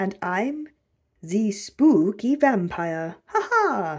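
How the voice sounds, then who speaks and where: A put-on character voice delivers the lines at a very slow pace. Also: man, high pitch for a man. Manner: spooky, playful.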